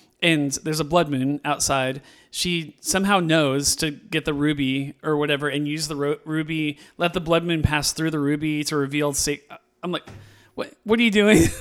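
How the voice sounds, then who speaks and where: On a very clean recording with a silent background, a man in a West Coast US accent talks with fairly high pitch and fairly even intonation. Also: moderate pace. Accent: General American, West Coast. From California. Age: 40s. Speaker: podcast host, movie reviewer. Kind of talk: casual chat. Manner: halting.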